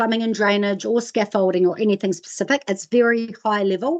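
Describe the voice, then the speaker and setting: A New Zealand accent against a quiet background. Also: woman. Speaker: sustainability training presenter. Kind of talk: webinar presentation. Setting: online webinar. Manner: fast.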